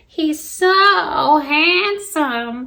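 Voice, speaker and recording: This is a put-on character voice that sounds female. Its pitch is high for a woman. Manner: mocking, put-on.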